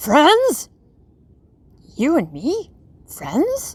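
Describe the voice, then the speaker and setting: A put-on character voice pitched high. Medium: read story.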